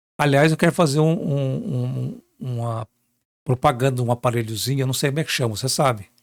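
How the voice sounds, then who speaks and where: A man of medium pitch at a moderate pace, with ordinary pitch variation. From Minas Gerais, Brazil. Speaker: journalist. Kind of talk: interview. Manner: animated.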